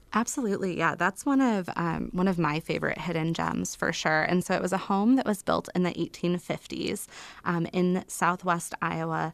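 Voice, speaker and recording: With a fairly low pitch and ordinary variation, a woman speaks at a moderate pace with hardly any pauses and very even loudness on a very clean recording with a silent background. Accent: Midwestern American. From Illinois. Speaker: travel writer and author. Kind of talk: interview.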